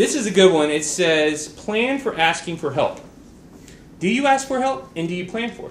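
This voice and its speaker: A loud man's voice, high in pitch with very wide pitch swings, at a moderate pace with audible room echo. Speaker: school staff member giving announcements. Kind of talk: school announcements. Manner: halting.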